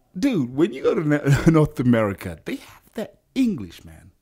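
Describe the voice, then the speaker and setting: Pitch swings very widely in a man's dark, mellow voice. He keeps a moderate pace. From Rwanda and Uganda. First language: Kinyarwanda. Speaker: musician and actor. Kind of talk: radio interview. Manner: animated.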